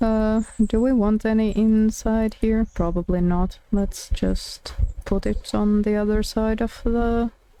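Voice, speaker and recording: Speech comes at a very slow pace with a Finnish accent in a very clean recording over a silent background. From Finland. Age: 20s. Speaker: streamer. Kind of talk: casual live-stream chat while gaming. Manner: hesitant, many fillers.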